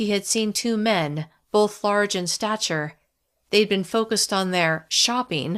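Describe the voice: Against a quiet background, plain reading aloud with pitch that varies in an ordinary way.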